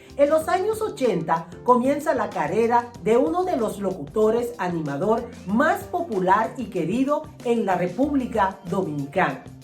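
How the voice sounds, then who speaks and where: With music in the background, a woman speaks fairly slowly and hardly pauses, her fairly high pitch swinging very widely. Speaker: interview host. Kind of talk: show introduction.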